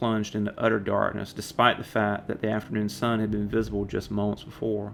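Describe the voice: This is plain reading aloud. It is read plainly.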